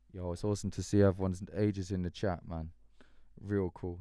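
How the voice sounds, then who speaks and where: Very deep and low, a man's voice carries a dark, mellow tone and an English accent. He speaks at a very fast pace on a very clean recording with a silent background. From English countryside. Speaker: musician. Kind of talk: live stream chat. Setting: live stream. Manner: casual, animated.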